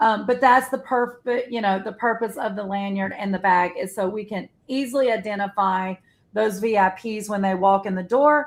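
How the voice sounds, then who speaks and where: On a very clean recording with a silent background, a woman talks at a moderate pace. Her pitch is fairly high with ordinary variation. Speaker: quilt shop owner and live stream host. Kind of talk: casual live stream chat. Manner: loud.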